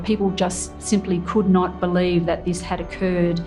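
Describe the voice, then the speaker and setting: A woman speaks with music in the background. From Australia. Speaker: military veteran. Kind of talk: interview answer.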